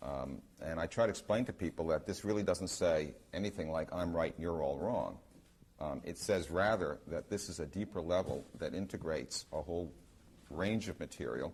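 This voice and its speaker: A man speaks in a very deep, low pitch. Vocal fry runs through his voice. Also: ordinary pitch variation. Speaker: researcher giving a talk. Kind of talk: lecture to an audience. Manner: fast; hesitant, many ums.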